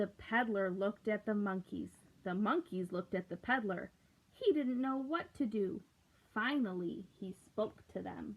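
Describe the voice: The pitch varies in an ordinary way. The pace is fairly slow. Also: woman, medium pitch for a woman.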